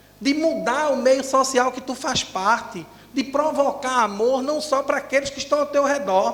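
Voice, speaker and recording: A man with an extremely high pitch and ordinary pitch variation speaks at a fairly slow pace amid noticeable background noise and audible room echo. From Northeast Brazil, Recife. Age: 40s. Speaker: educator and spiritist speaker. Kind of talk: lecture.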